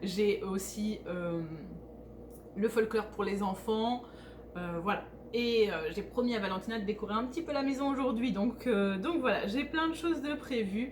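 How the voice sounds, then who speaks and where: With lively intonation and a fairly high pitch, a woman speaks at a fairly slow pace with long, frequent pauses, amid noticeable background noise and audible room echo. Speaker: vlogger. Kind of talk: casual vlog talk. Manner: hesitant, many filler sounds.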